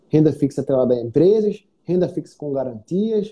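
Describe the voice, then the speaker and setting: Speaking at a moderate pace, a man with a fairly high pitch and a dark, mellow tone lets his voice swing very widely in pitch. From Northeast Brazil. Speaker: investment educator and live-stream host. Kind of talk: casual chat. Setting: live stream video call.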